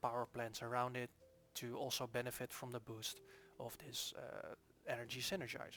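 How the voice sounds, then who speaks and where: A man at medium pitch with a Dutch accent, speaking at a fairly quick pace, music in the background. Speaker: game developer. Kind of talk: gameplay tutorial. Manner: casual, hesitant with fillers.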